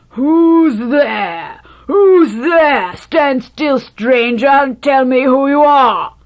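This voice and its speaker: In a put-on character voice, a woman growls at a very slow pace with a high pitch. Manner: threatening.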